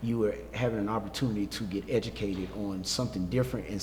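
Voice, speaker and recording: A man with an American accent talks at a very fast pace, his pitch fairly low with ordinary variation. Audible room echo fills the recording. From South Carolina. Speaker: educator. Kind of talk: casual chat. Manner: halting, many fillers.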